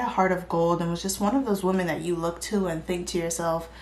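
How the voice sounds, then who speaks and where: The speaker is soft-spoken, with fairly even intonation. Audible room echo is present. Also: woman. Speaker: true crime YouTuber. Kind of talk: casual narration. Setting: quiet borrowed room.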